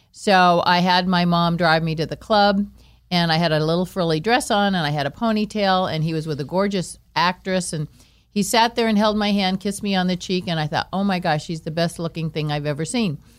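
A woman speaks in a normal speaking voice with an American accent, her pitch fairly low and its variation ordinary. She talks at a fairly quick pace on a very clean recording with a silent background. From Los Angeles. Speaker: entertainer's wife. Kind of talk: casual chat.

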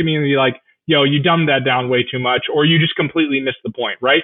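This voice has an American accent and ordinary pitch variation. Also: man. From US West Coast (Orange County, California). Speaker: journalist. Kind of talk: interview.

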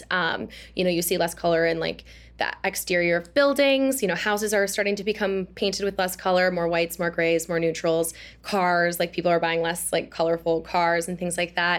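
A woman with an American accent and a fairly low voice talks at a fairly quick pace with ordinary pitch variation, on a very clean recording with a silent background. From Wisconsin, Oshkosh. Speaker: digital creator. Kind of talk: casual interview. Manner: animated.

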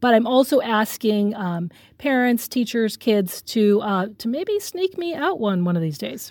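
A woman with an American accent talks in a plain, everyday voice at a fairly high pitch and a fairly slow pace. The recording is very clean, with a silent background. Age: 40s. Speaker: journalist. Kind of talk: interview.

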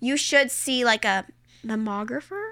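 A woman projects a raised voice at a high pitch, bright and sharp in tone, with lively intonation. The recording is very clean with a silent background. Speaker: podcast host. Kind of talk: casual chat.

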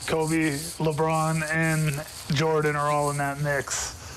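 With audible room echo and noticeable background noise, a man speaks in a fairly high pitch with monotone, flat intonation. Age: 40s. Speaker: former football player and coach. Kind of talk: radio sports interview.

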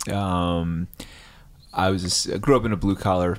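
A man with an American accent speaks in a low voice. His pace is moderate and his intonation fairly even.

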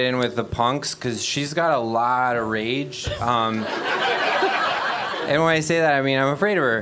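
With an American accent, a man of medium pitch speaks at a fairly slow pace with hardly any pauses, very even loudness and ordinary pitch variation, amid noticeable background noise and audible room echo. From Wisconsin, US Midwest. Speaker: game show contestant. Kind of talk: comedic banter.

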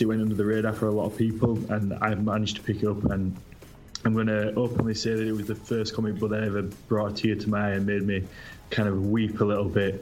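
With music behind him and audible room echo, a man speaks in a fairly low, monotone, flat voice at a fairly quick pace. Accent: British. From Britain. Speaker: comic book creator. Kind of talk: casual chat.

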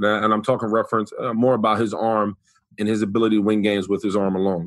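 A man talks at a very fast pace in a New York accent. His pitch is fairly low. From US Northeast, New York City (the Bronx). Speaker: former NFL player, sports commentator. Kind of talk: casual chat. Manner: animated storyteller.

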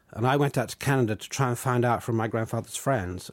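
A man with a southern English accent, medium pitch and fairly even intonation, in a very clean recording with a silent background. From southern England. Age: 60s. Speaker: novelist. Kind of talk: interview.

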